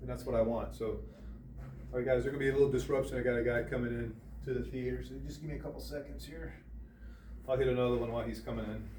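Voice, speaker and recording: A man talks at a very fast pace in a very deep, low pitch with very wide pitch swings, yet leaves long, frequent pauses. Audible room echo and noticeable background noise surround his voice. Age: 60s. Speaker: golf instructor. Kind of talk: tutorial. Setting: indoor golf simulator.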